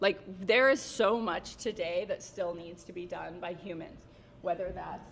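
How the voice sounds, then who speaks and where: Amid noticeable background noise, a woman speaks in an animated tone at a moderate pace. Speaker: marketing executive. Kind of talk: conference Q&A. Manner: casual, animated.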